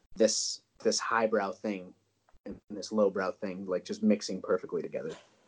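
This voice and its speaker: Here a man with an Upper Midwest accent talks at a moderate pace. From rural North Dakota. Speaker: historian. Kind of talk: casual chat. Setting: call recording.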